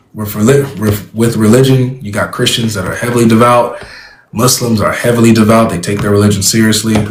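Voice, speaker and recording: Over noticeable background noise and audible room echo, a man with an American accent speaks at a fairly quick pace in a flat monotone at medium pitch. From California. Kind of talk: debate conversation.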